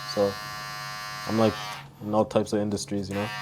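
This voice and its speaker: A man talks at a very fast pace with a fairly low pitch. Noticeable background noise is present. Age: 20s. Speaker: young entrepreneur. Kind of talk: casual interview. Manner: casual, filler-heavy.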